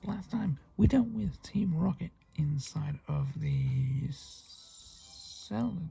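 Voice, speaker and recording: Someone with a British accent speaks quietly at a very slow pace. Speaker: gaming youtuber. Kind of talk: let's play commentary.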